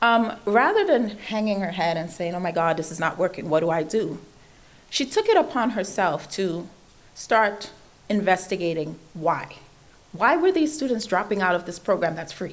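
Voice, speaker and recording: A woman with a Trinidadian accent and lively intonation. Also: medium pitch for a woman, moderate pace. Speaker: invited speaker on computer science education. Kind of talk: speech to an audience.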